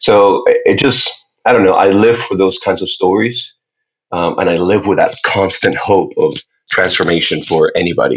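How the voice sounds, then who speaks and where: Delivered in a Spanish accent, the speech moves at a moderate pace with very even loudness. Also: man. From Puerto Rico. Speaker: faith-based activist and speaker. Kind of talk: casual interview.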